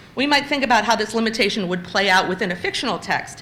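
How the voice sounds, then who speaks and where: A woman is heard with noticeable background noise. There is audible room echo as well. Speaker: invited lecturer, children's literature scholar. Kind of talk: lecture.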